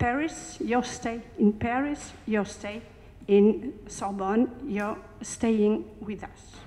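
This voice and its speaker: A woman's fairly high voice at a very slow pace, with ordinary pitch variation, big swings in loudness and noticeable background noise. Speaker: academic, congress organizer. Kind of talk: welcome speech. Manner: halting.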